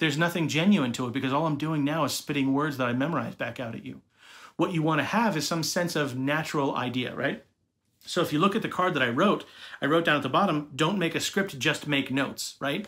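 At a very fast pace, a man talks in a fairly high pitch with ordinary pitch variation. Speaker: social media manager. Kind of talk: video tutorial to camera. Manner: fast talker. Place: home room. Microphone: phone near.

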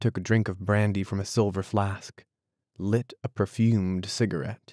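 Plain reading aloud comes with fairly even intonation over a quiet background.

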